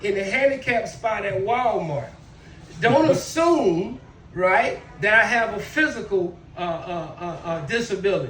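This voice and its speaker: Amid noticeable background noise and audible room echo, a man speaks in an animated tone with very wide pitch swings. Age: 60s. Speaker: stand-up comedian, military veteran. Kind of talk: stand-up.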